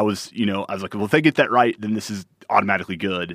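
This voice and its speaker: A man with a fairly low pitch speaks at a very fast pace with fairly even intonation, in a dry, close sound with no echo. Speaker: podcast co-host. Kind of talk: casual chat.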